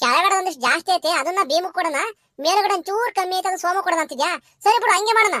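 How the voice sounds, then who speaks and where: A woman does a cartoonish character voice at an extremely high pitch. She talks at a fairly quick pace in a dry, close sound with no echo. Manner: bossy, confidently off-topic.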